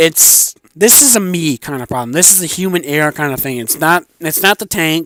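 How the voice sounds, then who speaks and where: With hardly any pauses, the voice has a bright, sharp tone and ordinary pitch variation, recorded dry and close with no echo. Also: man, fairly high pitch for a man. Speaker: gaming video creator. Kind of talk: casual tank review monologue. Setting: home garage. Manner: fast.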